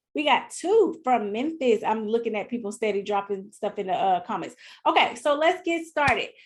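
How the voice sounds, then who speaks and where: In a Southern US accent, a woman with a fairly high pitch speaks at a moderate pace in an animated, passionate tone with very wide pitch swings. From US South, Mississippi (partly California). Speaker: business coach. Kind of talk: live online workshop. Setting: live video stream.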